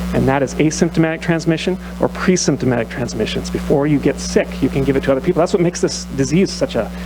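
A man talks at a very fast pace. Music plays in the background. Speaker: physician speaking at public comment. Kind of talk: public comment speech. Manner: loud.

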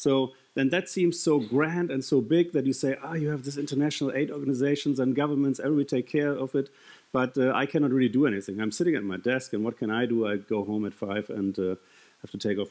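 A man talks at a very fast pace with ordinary pitch variation. The background is quiet. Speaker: conference speaker. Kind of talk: keynote talk. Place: stage. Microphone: headset.

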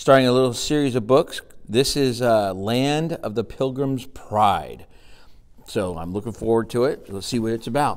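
A man speaks with lively intonation and big swings in loudness. The background is quiet. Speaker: grandfather and teacher reading to grandchildren. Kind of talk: children's storybook reading. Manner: friendly, warm. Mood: warm, gentle. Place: classroom. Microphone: phone near.

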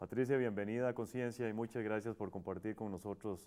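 Pitched fairly low, a man speaks in a dark, mellow tone. His pace is fairly quick and his intonation fairly even. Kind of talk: interview. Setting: studio.

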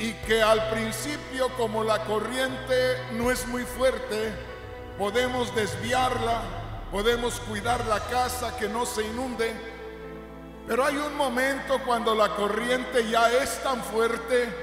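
A man's extremely high-pitched, monotone, flat delivery at a very slow pace, with audible room echo and clear music in the background. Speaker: preacher. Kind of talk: sermon. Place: church. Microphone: handheld.

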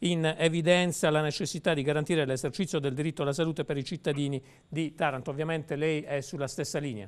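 Over a quiet background, a man speaks very fast with fairly even intonation. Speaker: TV news talk host. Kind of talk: TV news talk show hosting and interviewing. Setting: TV studio. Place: studio. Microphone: lapel.

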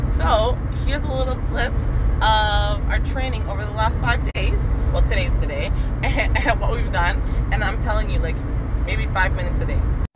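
Loud background noise accompanies a woman speaking at a moderate pace. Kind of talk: casual vlog chat. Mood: relaxed, friendly. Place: car. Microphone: phone near.

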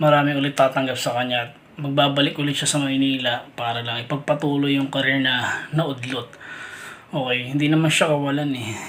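Monotone, flat intonation from a man at a fairly high pitch and fairly quick pace, over noticeable background noise. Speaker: showbiz gossip vlogger. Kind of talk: commentary monologue.

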